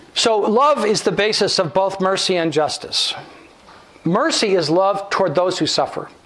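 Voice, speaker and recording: A man is speaking. Audible room echo and noticeable background noise surround his voice. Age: 70s. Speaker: guest speaker, theologian. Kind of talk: lecture. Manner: halting.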